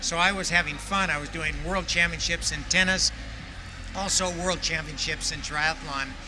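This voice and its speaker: Over background music and audible room echo, a man talks at a moderate pace. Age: 70s. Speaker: veteran triathlete and tennis coach. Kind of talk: interview testimony.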